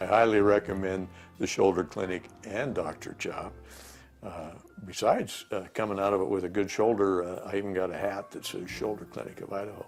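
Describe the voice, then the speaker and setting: Over music in the background, a man with a fairly low pitch speaks at a fairly quick pace, his intonation fairly even but his loudness swinging widely. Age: 70s. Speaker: patient giving testimonial. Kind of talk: testimonial. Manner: halting, many fillers.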